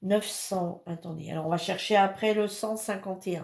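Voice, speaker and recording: A woman's very slow delivery with fairly even intonation. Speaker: crafts hobby youtuber. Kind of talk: product review and unboxing. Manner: hesitant, many fillers.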